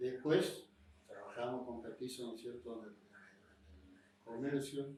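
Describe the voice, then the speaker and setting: A man's somewhat breathy, dark and mellow voice at a very slow pace, with audible room echo. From Argentina, Misiones. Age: 60s. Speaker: former mayor. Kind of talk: oral history interview.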